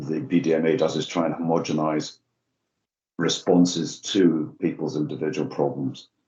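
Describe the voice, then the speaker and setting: The speaker leaves long pauses, and often. Delivery moves at a moderate pace with ordinary pitch variation. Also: man. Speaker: addiction researcher. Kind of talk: webinar discussion. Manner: hesitant, many fillers.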